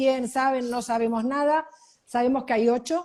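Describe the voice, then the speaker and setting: Over a quiet background, a woman speaks at a moderate pace. Her pitch is high and her intonation fairly even. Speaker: news show co-host. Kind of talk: casual news discussion.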